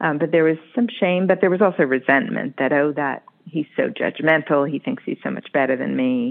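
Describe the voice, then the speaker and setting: This woman's pitch is very deep and low. She talks in an American accent. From US New England. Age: 50s. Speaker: psychotherapist. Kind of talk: casual interview chat, with poem reading.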